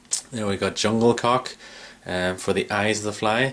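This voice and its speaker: This man has a fairly low voice and an Irish accent. His intonation is fairly even and his pace moderate. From Ireland. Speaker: fly tier. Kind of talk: tutorial. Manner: halting, many fillers.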